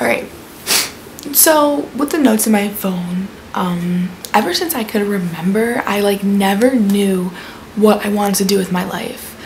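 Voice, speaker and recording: A quiet woman at a fairly slow pace, with audible room echo and noticeable background noise. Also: medium pitch for a woman, ordinary pitch variation. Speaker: vlogger. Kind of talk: story time vlog.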